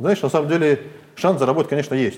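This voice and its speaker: The voice belongs to a man. It shows ordinary pitch variation. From Siberia. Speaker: business owner. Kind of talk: interview. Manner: halting.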